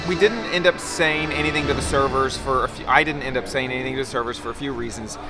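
At a fairly quick clip, a man talks while clear music sounds behind him. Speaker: travel vlogger. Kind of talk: casual vlog chat. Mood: chatty, slightly uneasy. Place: street. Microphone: phone near.

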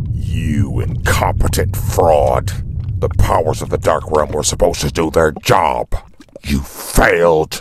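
Using a put-on character voice, a man speaks with a very deep, low pitch at a fairly slow pace. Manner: angry, scolding.

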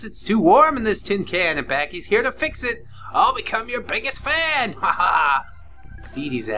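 Over clear background music, a man does a put-on character voice at an extremely high pitch and a moderate pace. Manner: goofy, overexcited.

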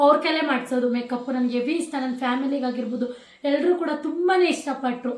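There is audible room echo around this woman's high-pitched voice. Her intonation stays fairly even. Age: 20s. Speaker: vlogger. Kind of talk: casual Q&A chat.

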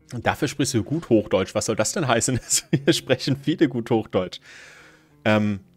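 Over faint background music, a man at medium pitch talks at a moderate pace with lively intonation and long, frequent pauses, the sound dry with no echo. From southern Baden-Württemberg, Germany. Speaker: gaming streamer. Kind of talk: live gameplay commentary. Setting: live stream. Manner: casual, hesitant with fillers. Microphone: studio mic.

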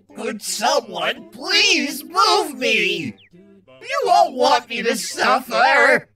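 A man speaks in a put-on character voice at an extremely high pitch and a very slow pace. Music plays in the background. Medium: dub. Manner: irritable, whiny.

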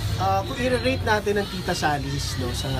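Clear music sounds behind the speaker. He is a man talking at a fairly slow pace. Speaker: food reviewer. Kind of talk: casual vlog chat. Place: cafe. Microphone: phone near.

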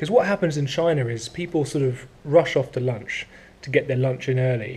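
With an English accent, a man speaks at a moderate pace in a dark, mellow, somewhat breathy tone and fairly even intonation. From England. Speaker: English teacher and vlogger; English teacher, vlogger. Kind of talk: casual vlog narration. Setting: outdoors, commuting by skateboard. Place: classroom. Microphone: phone near.

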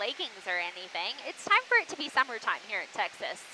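A woman talks at a very fast pace. The sound is dry with no echo, over light background noise. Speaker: pilot vlogger. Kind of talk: casual vlog chat. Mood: cheerful. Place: plane. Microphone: headset.

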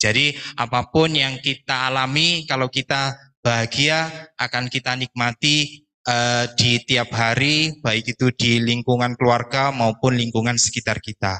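Against a quiet background, a man speaks at a fairly slow pace in a bright, sharp tone, with very even loudness and fairly even intonation. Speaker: hospital operations manager, doctor. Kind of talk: opening speech. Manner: nervous. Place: hall.

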